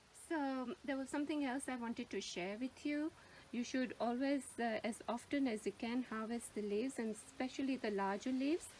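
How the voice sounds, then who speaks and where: A woman's high voice in a Gujarati accent, at a moderate pace, with ordinary pitch variation and very even loudness. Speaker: gardening YouTuber. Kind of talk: tutorial. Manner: hesitant, searching for words.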